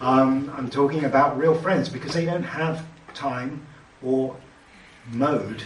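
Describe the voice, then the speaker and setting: A man with a British accent and ordinary pitch variation, set against noticeable background noise and audible room echo. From Britain. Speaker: technologist, panelist. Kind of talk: panel discussion. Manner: hesitant, many fillers.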